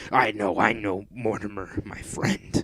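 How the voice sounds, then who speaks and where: A man's gruff, gravelly put-on character voice, fairly low in pitch, with monotone, flat intonation. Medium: read story.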